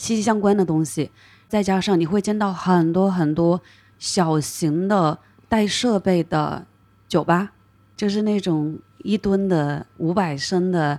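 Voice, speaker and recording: A woman's medium-pitched voice, dark and mellow in tone, with ordinary pitch variation, very even loudness and a very slow pace, in a very clean recording with a silent background. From Hunan, China. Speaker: craft brewery co-owner. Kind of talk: casual interview chat.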